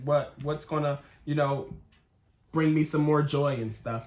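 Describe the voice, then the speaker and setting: A man's somewhat breathy, fairly high-pitched voice in a flat monotone. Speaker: tarot reader. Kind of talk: tarot reading. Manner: casual; fast.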